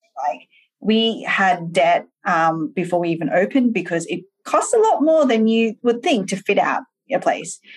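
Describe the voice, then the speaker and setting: A fairly high-pitched woman with very wide pitch swings and an Australian accent. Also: moderate pace. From Australia (Sydney), Malaysian parents. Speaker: entrepreneur, software founder. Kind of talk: interview conversation. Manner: animated.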